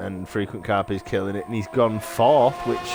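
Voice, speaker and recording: A man with a northern English accent talks at a moderate pace and medium pitch. His pitch varies in an ordinary way, with music playing in the background. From northern England. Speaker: sim racing commentator. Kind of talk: live commentary. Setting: live stream.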